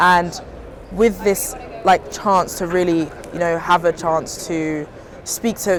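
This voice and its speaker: A woman speaks with a British accent at a fairly low pitch. Her intonation is fairly even, with noticeable background noise behind her. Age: young. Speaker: early-career aerospace engineer. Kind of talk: recorded testimony.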